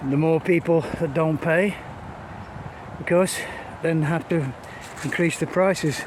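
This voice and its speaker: With an English accent, a man speaks at a moderate pace in a fairly high voice with fairly even intonation, over noticeable background noise. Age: 70s. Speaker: vlogger. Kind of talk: casual vlog monologue. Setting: outdoors, walking a dog in woods. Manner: halting.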